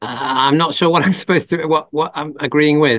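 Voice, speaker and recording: Fairly high in pitch, a man speaks with an English accent. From England. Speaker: Buddhist monk and teacher. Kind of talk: Q&A after a Dhamma talk. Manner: halting, many fillers and restarts.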